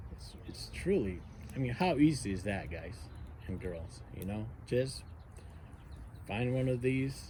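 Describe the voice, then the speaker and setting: With an American accent, the voice has a dark, mellow, somewhat breathy tone. It moves at a moderate pace amid audible room echo. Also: man. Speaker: outdoor gear vlogger, navy veteran. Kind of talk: casual demonstration vlog. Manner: halting, many fillers.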